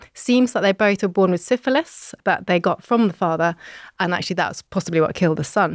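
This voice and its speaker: A woman speaks with a British accent at a fairly quick pace and medium pitch, her pitch varying in an ordinary way and her loudness very even. The sound is dry and close with no echo, on a very clean recording with a silent background. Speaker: podcast host, historian. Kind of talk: casual chat and historical storytelling.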